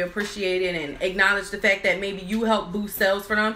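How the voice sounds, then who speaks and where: A woman's medium-pitched voice at a very fast pace, fairly even in intonation, with noticeable background noise. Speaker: nail business owner and YouTuber. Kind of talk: live stream chat. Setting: office with crew, live video.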